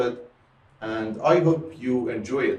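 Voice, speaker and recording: A man with an Iranian accent at a fairly slow pace, music playing in the background. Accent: Iranian (Persian). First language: Persian. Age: 30s. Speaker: music teacher. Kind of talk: tutorial. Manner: halting, with many repetitions and fillers.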